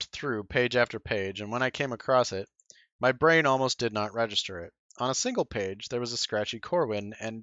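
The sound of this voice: The reading voice is unforced, with ordinary pitch variation, and the background is quiet.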